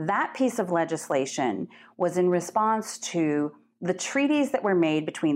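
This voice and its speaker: Her pitch swinging very widely, a woman speaks at a fairly slow pace. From Turtle Mountain Ojibwe Nation, North Dakota. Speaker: nonprofit executive director. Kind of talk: interview.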